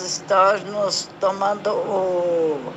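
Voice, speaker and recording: A woman speaks at a very slow pace. Audible room echo and noticeable background noise come through. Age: 70s. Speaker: patient sharing her story. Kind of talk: testimony.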